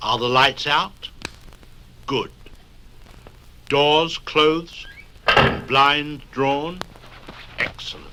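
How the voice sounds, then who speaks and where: Over noticeable background noise, a man with a fairly high pitch speaks in a sinister tone at a very slow pace, with fairly even intonation and long, frequent pauses. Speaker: host introducing stories. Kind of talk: spoken-word record introduction for children. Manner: droll, mock-sinister.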